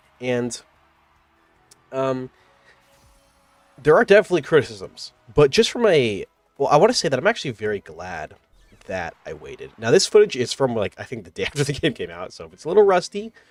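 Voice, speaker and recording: With music in the background, a man talks fairly quickly at a fairly high pitch, with very wide pitch swings and big swings in loudness, in a dry, close sound with no echo. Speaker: gaming youtuber. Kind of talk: casual video game review monologue. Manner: casual, many filler words.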